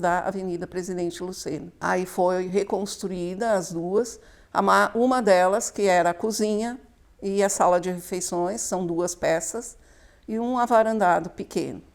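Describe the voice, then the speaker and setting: A woman talks in a normal speaking voice at medium pitch and a fairly slow pace. Her intonation is fairly even, and the recording is very clean with a silent background. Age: 60s. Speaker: local resident, house owner's mother. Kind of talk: documentary interview.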